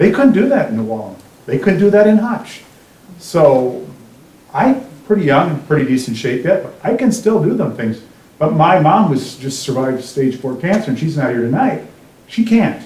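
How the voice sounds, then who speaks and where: A man with an Upper Midwest accent speaks at a fairly high pitch and a moderate pace, with very wide pitch swings. Audible room echo and noticeable background noise come through. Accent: Upper Midwest (Minnesota). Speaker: resident speaking at public forum. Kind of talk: public comment at town hall. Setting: town hall meeting.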